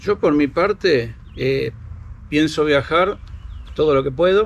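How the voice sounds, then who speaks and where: This man's voice is fairly high with ordinary pitch variation. He talks at a fairly slow pace. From Argentina, Buenos Aires province. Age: 60s. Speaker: motorhome traveler. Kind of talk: interview.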